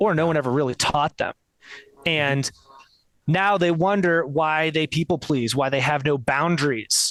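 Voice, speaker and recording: A man with a fairly high pitch speaks fairly slowly with ordinary pitch variation, in a dry, close sound with no echo. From US Northeast (New Jersey). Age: 30s. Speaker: coach and former musical theatre performer. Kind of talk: podcast interview. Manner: animated.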